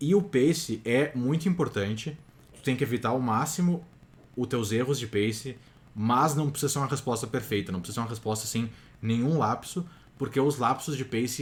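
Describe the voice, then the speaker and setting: A man with a somewhat breathy, medium-pitched voice speaks at a fairly quick pace. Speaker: TOEFL prep youtuber. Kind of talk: tutorial. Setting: home recording at night.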